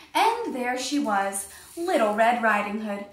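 Lively intonation over plain reading out loud

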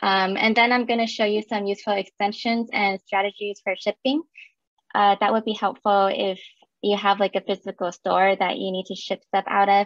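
At a moderate pace, a woman speaks with monotone, flat intonation, in a dry sound with no echo and a quiet background. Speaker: technical account manager and presenter. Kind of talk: technical presentation with slides. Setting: video call with screen share. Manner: casual, conversational, filler words. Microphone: webcam.

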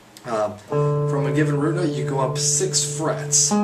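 Heavy background noise surrounds a man as he talks. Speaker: guitar teacher. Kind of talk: guitar lesson talk to camera. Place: home room. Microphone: webcam.

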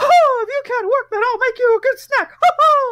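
This put-on character voice is squeaky, pitched extremely high, and delivered at a moderate pace. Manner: cackling, mocking, cruel.

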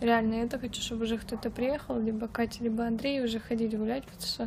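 A woman speaks very fast in a monotone, flat intonation. Light background noise runs underneath. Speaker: vlogger. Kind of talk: casual vlog chat. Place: garden. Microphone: phone near.

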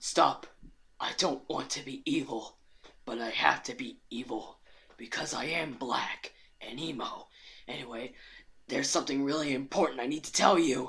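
In a put-on character voice with a low-to-middle pitch, the speaker goes at a moderate pace with long, frequent pauses. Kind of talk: comic overacting. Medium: machinima. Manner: sulky, whiny.

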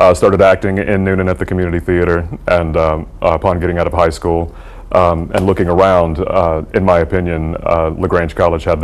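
A man with a Southern US accent talks at a fairly quick pace in a very deep, low voice, his intonation monotone and flat, with hardly any pauses. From US South. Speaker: stage actor. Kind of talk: interview. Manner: talkative. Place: studio.

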